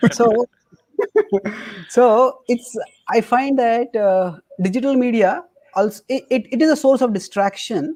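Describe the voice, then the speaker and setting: In an Indian accent, a man speaks at an extremely high pitch and a fairly slow pace, with ordinary pitch variation and long, frequent pauses. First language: not English. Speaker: spiritual teacher. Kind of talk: podcast interview.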